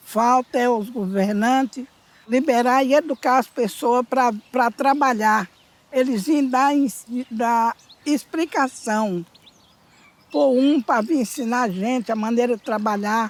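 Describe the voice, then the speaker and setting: High-pitched woman's voice at a very slow pace, with long, frequent pauses, very even loudness and ordinary pitch variation. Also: dry, close sound with no echo. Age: 70s. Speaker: gold and diamond miner. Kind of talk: interview testimony.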